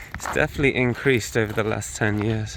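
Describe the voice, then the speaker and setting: A man speaks with a British accent at a fairly slow pace and fairly even intonation. Noticeable background noise is present. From UK. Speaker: travel vlogger. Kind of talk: casual vlog talk to camera.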